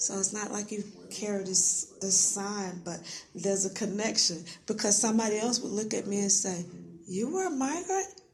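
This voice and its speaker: A woman speaks at a moderate pace and medium pitch with ordinary pitch variation over noticeable background noise. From central Florida, Winter Garden. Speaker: community outreach worker. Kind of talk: oral history interview.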